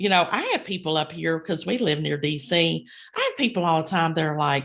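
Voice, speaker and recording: Over a quiet background, a woman talks with a strong Kentucky accent at a fairly quick pace. Her pitch is fairly low, with ordinary variation. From rural Kentucky. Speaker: podcast co-host, inspirational speaker. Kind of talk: casual chat.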